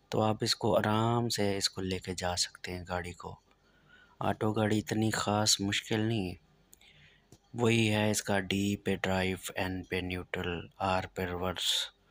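With a Saraiki accent, a man speaks at a fairly slow pace in a flat monotone and a fairly low pitch, the sound dry with no echo and the background quiet. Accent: Saraiki-accented Urdu. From Pakistan, Saraiki-speaking south Punjab. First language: Saraiki (speaking Hindi). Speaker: driving instructor. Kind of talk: tutorial. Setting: in a car. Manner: casual. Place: car. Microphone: phone near.

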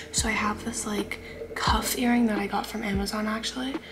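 Music can be heard behind the speaker. She is a woman speaking at a moderate pace. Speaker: student vlogger. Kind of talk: casual vlog chat. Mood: playful, joking. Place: home room. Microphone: phone near.

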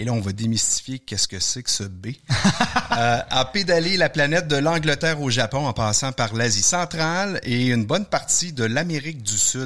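In a Quebec accent, this voice has a bright, sharp tone and lively intonation. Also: man. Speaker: outdoor podcast host. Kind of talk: interview.

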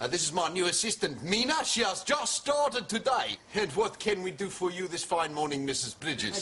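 Over music in the background, a raised, projected voice moves at a fairly quick pace with hardly any pauses and very wide pitch swings. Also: man. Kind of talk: scripted comedy dialogue. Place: shop.

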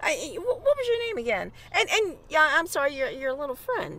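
A woman puts on a character voice, pitched high with very wide pitch swings and a bright, sharp tone. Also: moderate pace.

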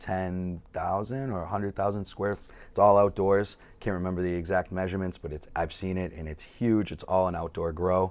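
Moderate pace, fairly even intonation, and very deep, low pitch from a man with an American accent. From Massachusetts North Shore (Peabody); Massachusetts. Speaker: softball player; podcast guest. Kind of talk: casual chat. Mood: relaxed, friendly. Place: studio.

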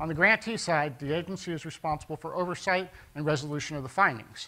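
Speaking at a very fast pace, a man has a bright, sharp tone. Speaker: conference presenter. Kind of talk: conference talk. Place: hall. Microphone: handheld.

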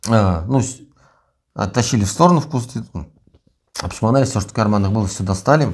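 Somewhat breathy voice at a fairly quick pace, with lively intonation over a quiet background. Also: man, fairly low pitch for a man. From Russia. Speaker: prisoner of war; interviewee. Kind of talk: interview. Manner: halting. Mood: calm, matter-of-fact. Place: empty room. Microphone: lapel.

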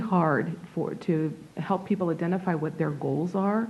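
Fairly low and somewhat breathy, this woman's dark, mellow voice moves at a fairly slow pace with ordinary pitch variation amid audible room echo. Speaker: nonprofit director presenting to city council. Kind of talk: public presentation. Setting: city council meeting. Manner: halting, stuttering.

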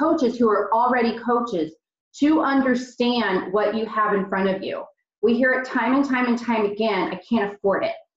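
A woman speaks at a moderate pace with ordinary pitch variation. The background is quiet, with audible room echo. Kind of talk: team meeting talk. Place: home room. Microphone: video call.

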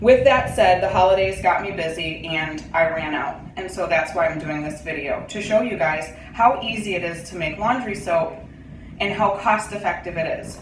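The speaker moves at a moderate pace with ordinary pitch variation and big swings in loudness. Audible room echo and light background noise surround the voice. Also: woman. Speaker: home DIY vlogger. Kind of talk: tutorial. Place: home room. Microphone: phone near.

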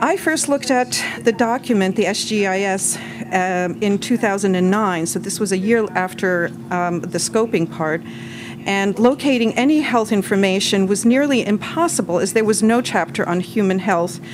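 A woman's medium-pitched voice with lively intonation at a moderate pace, over noticeable background noise. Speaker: pediatrician. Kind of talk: testimony. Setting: public hearing with microphone. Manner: soft-spoken.

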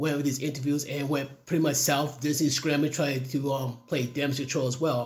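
The background is quiet while a man talks. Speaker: commentary vlogger. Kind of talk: casual opinion commentary. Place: home room.

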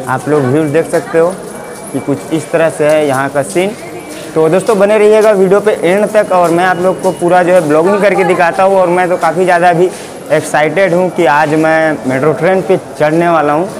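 A high-pitched man at a moderate pace, fairly even in intonation and very even in loudness, with clear music in the background. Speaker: vlogger. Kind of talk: casual vlog chat. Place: station. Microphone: lapel.

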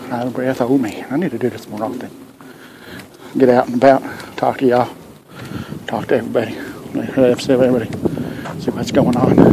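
Over noticeable background noise, a man with an American accent talks at a fairly quick pace in a flat monotone. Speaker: vlogger. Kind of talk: casual chat. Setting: outdoors. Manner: halting; soft-spoken. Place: street. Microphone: earbuds.

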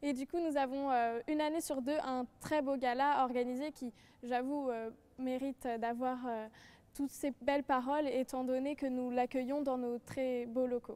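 At a fairly slow pace, a woman speaks in a high pitch, her tone dark and mellow and her intonation monotone and flat. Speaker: law student. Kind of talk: panel presentation. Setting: studio. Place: hall.

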